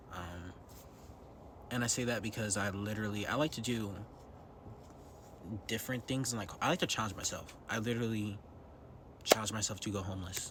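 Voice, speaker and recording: Speaking at a fairly quick pace yet with long, frequent pauses, a man with a fairly low pitch keeps a fairly even intonation in audible room echo. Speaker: vlogger. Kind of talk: personal vlog monologue. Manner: whispering; hesitant with many ums.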